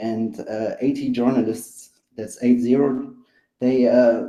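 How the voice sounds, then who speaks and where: A man speaks with a German accent at a very slow pace, in a dark, mellow tone. His pitch is medium and his intonation fairly even. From Germany. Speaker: caller. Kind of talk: live panel discussion. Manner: halting, many fillers.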